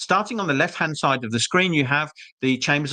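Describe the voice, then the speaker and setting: A man with a slight British accent talks at a fairly quick pace in a bright, sharp tone. His pitch varies in an ordinary way, and the background is quiet. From UK. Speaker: school representative. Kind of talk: webinar presentation. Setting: live online webinar.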